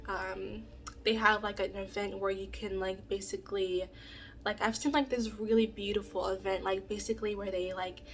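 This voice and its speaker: The delivery moves at a moderate pace. Its intonation stays monotone and flat. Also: woman, medium pitch for a woman. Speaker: vlogger. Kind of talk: casual talk to camera. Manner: hesitant, many fillers.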